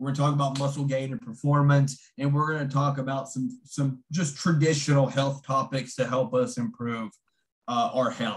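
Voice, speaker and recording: A somewhat breathy man's voice with a West Virginia accent, fairly high in pitch, at a moderate pace. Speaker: fitness coach and nutritionist. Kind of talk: online seminar presentation. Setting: video call.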